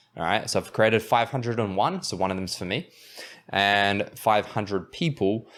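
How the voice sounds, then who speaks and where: A man with a New Zealand accent speaks at a fairly low pitch with ordinary pitch variation. The recording is very clean, with a silent background. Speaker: podcast host and anxiety coach. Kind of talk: tutorial. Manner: casual, halting with fillers.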